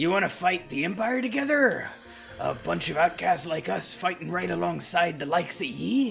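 A man's high-pitched, put-on character voice over clear background music. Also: moderate pace. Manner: gruff, rallying.

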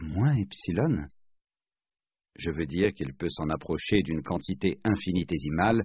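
The speaker talks at a fairly slow pace with lively intonation. Vocal fry runs through the voice. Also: man. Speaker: audiobook narrator. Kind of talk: literary audiobook narration, read aloud from a novel. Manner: measured, steady narrator's pace with clear formal diction.

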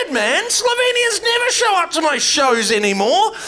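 A man with a New Zealand accent speaks in a raised, projected voice. His pitch swings very widely at a fairly slow pace. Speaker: comedian. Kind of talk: stand-up comedy. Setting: stage with audience. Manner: animated; crude, bantering with audience. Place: stage. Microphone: handheld.

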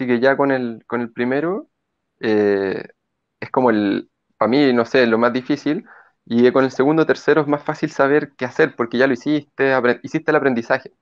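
Ordinary pitch variation from a man, set against a quiet background. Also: moderate pace. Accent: Chilean. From Chile. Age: 30s. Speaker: mountain guide and investor; mountain guide. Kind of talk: testimony. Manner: halting, many repetitions and fillers. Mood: cheerful, relaxed. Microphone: earbuds.

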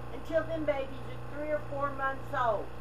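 A woman speaks at a fairly slow pace. There is noticeable background noise. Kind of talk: tutorial. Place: farm machine. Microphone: camera far.

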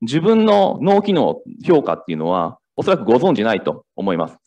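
A man talking at a fairly quick pace against a quiet background. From Kansai, Japan; Japan. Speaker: startup founder; presenter. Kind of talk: startup pitch. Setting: stage with audience. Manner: halting. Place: hall.

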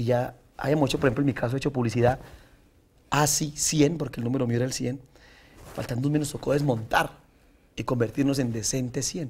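Fairly quick yet marked by long, frequent pauses, a man's somewhat breathy voice keeps a fairly even intonation. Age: 30s. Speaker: senator and trova singer; senator. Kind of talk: interview. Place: studio. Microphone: lapel.

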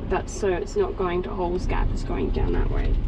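The speaker is a woman. Noticeable background noise accompanies her voice. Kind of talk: casual conversation. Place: car.

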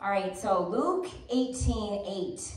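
A woman with lively intonation is heard with audible room echo. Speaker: preacher. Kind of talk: sermon. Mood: lively, warm. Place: church. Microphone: camera far.

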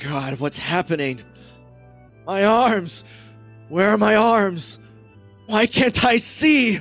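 A woman's put-on character voice at medium pitch, very slow with long, frequent pauses and very wide pitch swings, over faint background music.

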